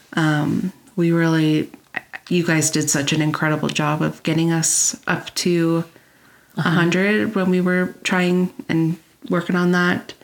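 Speaking at a fairly slow pace, a woman uses an unremarkable speaking voice with a fairly low pitch, fairly even intonation and very even loudness. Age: 30s. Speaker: quilting podcast co-host. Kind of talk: casual chat.

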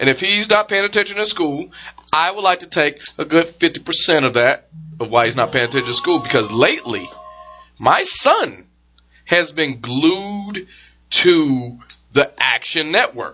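A man's high-pitched voice with lively intonation at a moderate pace, over background music. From Detroit, US. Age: 30s. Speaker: podcast host. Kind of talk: casual chat.

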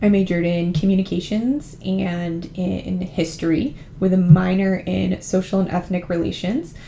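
With a Californian accent, the speaker has a dark, mellow, somewhat breathy tone, fairly even intonation, and a moderate pace with hardly any pauses. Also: woman, fairly low pitch for a woman. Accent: Californian American. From California, San Francisco Bay Area. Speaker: podcast host and university admissions advisor. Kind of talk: informational podcast monologue.

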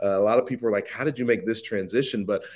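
A man talks in a Midwestern American accent at a medium pitch. His pitch variation is ordinary. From US Midwest, Ohio. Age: young. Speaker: social media marketing entrepreneur. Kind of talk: interview conversation.

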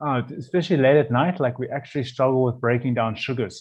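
With a South African accent, a man speaks at a medium pitch, somewhat breathy, with ordinary pitch variation. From South Africa, Cape Town. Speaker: chef. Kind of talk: casual chat.

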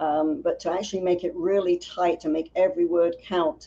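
A woman's dark, mellow tone with a slight London accent and ordinary pitch variation. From North London, England. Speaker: business founder and writer. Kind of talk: casual interview chat.

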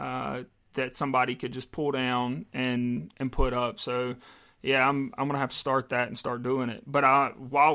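An American accent with a bright, sharp tone, fairly even intonation and a moderate pace, on a very clean recording with a silent background. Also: man. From US South, South Carolina. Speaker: podcast co-host, salesman and personal trainer. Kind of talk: casual chat.

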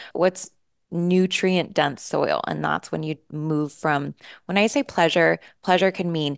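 Over a quiet background, a woman with a very deep, low pitch and vocal fry speaks fairly slowly in an animated tone. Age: 40s. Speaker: business coach. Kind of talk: interview.

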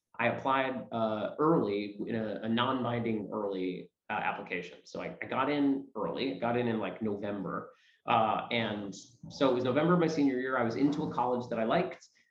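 Talking at a fairly quick pace, a man with an American accent is heard with audible room echo. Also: medium pitch for a man, ordinary pitch variation. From New York City area. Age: 30s. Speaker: stage actor. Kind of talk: interview. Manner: halting.

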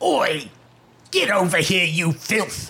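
Pitched in the middle range, a raspy put-on character voice comes through in a London accent. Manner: gruff, threatening.

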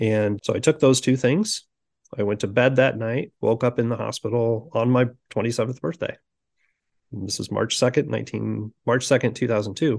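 A man with a Midwestern American accent, medium-pitched with vocal fry, fairly even intonation, moderate pace, quiet background. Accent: General Midwestern American. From US Midwest (Sioux City, Iowa). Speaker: executive coach. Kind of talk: interview conversation.

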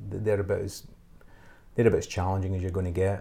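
Fairly low in pitch, a man with a west of Scotland accent speaks with a dark, mellow, somewhat breathy tone. His intonation is fairly even, and the recording is very clean with a silent background. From west of Scotland, small town near Glasgow. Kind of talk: casual interview. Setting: home studio. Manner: halting, many fillers and repeats.

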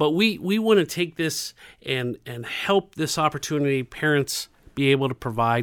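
A man speaks in a normal speaking voice at a moderate pace, with fairly high pitch and ordinary pitch variation. The sound is dry and close, with no echo. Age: 50s. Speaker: community center director. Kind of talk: interview.

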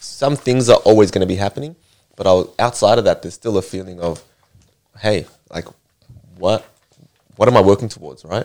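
With an Australian accent, a man talks at a fairly quick pace and fairly low pitch, with ordinary pitch variation and long, frequent pauses. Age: 20s. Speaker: martial arts fighter. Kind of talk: casual chat.

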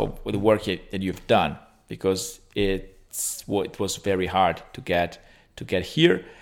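A man speaks with an Italian accent on a very clean recording with a silent background. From Italy. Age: 30s. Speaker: orthopaedic surgeon. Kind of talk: interview. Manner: halting.

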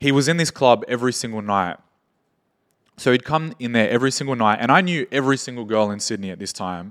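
In a very clean recording with a silent background, a man with an Australian accent and a medium pitch speaks at a very fast pace with lively intonation. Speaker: entrepreneur and music manager. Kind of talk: casual chat.

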